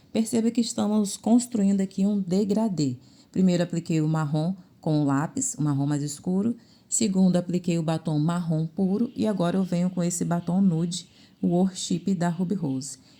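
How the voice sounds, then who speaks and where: A plain, everyday voice from a woman, fairly low in pitch, with ordinary pitch variation at a moderate pace. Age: 40s. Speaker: makeup artist. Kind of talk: tutorial.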